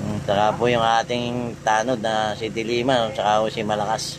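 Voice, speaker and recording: A man's fairly low voice at a fairly slow pace, with audible room echo and noticeable background noise. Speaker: patrol driver vlogger. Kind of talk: live roadside vlog commentary.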